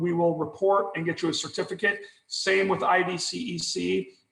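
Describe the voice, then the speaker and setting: A man speaks with a high pitch. Room echo is audible around him. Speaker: continuing education presenter. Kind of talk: webinar lecture. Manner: fast.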